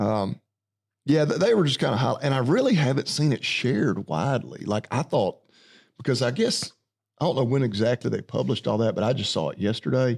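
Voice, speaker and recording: The recording is very clean with a silent background. A man talks in a medium pitch with lively intonation and vocal fry. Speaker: farmer. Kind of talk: podcast conversation. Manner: casual, unfiltered.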